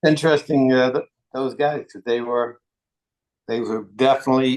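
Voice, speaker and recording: A man at medium pitch and moderate pace, in a dry, close sound with no echo. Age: 60s. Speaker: retired football strength coach. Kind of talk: interview.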